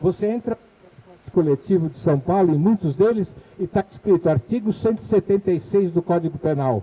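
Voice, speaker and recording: A man with a high pitch, ordinary pitch variation and a moderate pace. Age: 70s. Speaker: former transport official, engineer. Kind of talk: public talk. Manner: conversational.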